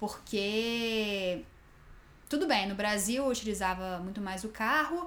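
Her fairly high pitch and ordinary pitch variation come through audible room echo as the woman speaks at a fairly slow pace. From Brazil. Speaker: podcast co-host. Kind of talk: casual chat.

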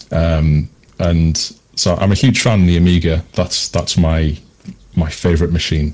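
At a moderate pace with long, frequent pauses, a man in a British accent speaks with a very deep, low pitch, fairly even intonation and very even loudness. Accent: British, noticeable. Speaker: retro computing developer. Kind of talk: casual interview chat. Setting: video call, very late at night.

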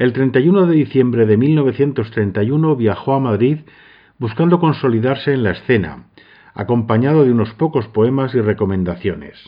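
In an unremarkable speaking voice, a man of medium pitch talks at a moderate pace with ordinary pitch variation. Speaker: podcast host and narrator. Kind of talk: scripted narration with biographical commentary.

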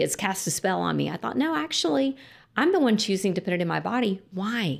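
A woman with a Texan accent talks at a moderate pace in a very clean recording with a silent background. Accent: Texan American. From Lubbock, Texas. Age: 50s. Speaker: sobriety coach. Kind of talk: casual chat.

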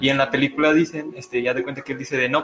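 Speaking very fast with a Mexican accent, a man keeps a medium pitch and fairly even intonation. Background noise is noticeable. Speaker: podcast co-host. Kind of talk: casual discussion. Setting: live stream in a room.

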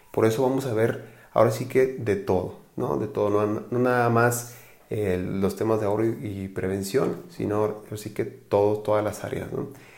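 A man with a fairly low voice speaks amid audible room echo. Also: ordinary pitch variation, moderate pace. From Mexico, Guadalajara, Jalisco. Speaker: financial advisor, podcast host. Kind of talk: casual podcast monologue. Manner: hesitant with fillers and repetitions.

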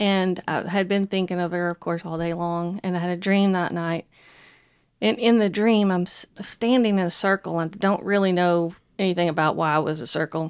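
On a very clean recording with a silent background, a woman talks at a moderate pace in a Southern US accent. Her voice is fairly low in pitch, and her intonation is fairly even. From US South. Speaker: churchgoer sharing faith story. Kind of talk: testimony.

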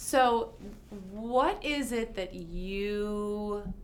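The speaker is a woman with an American accent and ordinary pitch variation. Some room echo can be heard. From New York City. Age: 40s. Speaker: podcast host, lawyer. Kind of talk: interview conversation.

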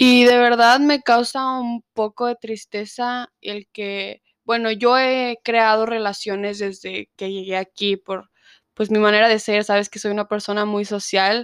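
A woman with a Mexican accent speaks at a fairly high pitch in a monotone, flat intonation, her loudness swinging widely, the sound dry and close with no echo. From Mexico, Zacatecas. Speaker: recent immigrant. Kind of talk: casual chat.

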